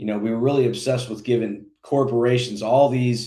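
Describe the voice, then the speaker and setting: An American man talks at a fairly quick pace and medium pitch. His tone is dark and mellow, with fairly even intonation. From Indiana. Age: 40s. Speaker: political candidate. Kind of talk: interview. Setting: podcast.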